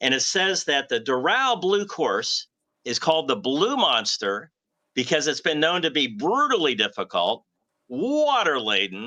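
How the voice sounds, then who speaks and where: Against a quiet background, a man speaks at a fairly slow pace in a bright, sharp tone with vocal fry. His pitch swings very widely. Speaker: golf broadcaster and host. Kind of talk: sports broadcast host banter.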